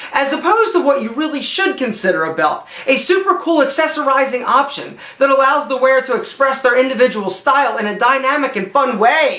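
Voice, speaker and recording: Raising and projecting his voice, a man speaks at a fairly quick pace with an extremely high pitch and very wide pitch swings. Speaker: image consultant and style video host. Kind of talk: tutorial. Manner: animated.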